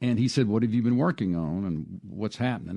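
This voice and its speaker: A man in a Mississippi accent, with a dark, mellow tone, lively intonation and a fairly quick pace, over a quiet background. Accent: US Southern (Mississippi). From Mississippi Piney Woods (Hattiesburg, Wiggins). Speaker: arts administrator and restaurateur. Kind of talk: interview. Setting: radio studio.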